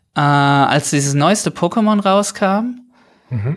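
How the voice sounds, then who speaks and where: Here a man talks with ordinary pitch variation. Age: 30s. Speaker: caller. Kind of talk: casual chat.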